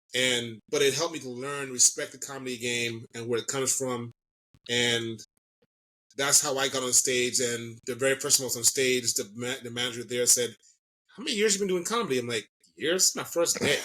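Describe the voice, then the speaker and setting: The speaker has an American accent, ordinary pitch variation and a fairly quick pace. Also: man, medium pitch for a man. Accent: can slip into Jamaican. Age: 40s. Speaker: comedian and social media personality. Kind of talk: podcast interview. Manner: fast; mumbling.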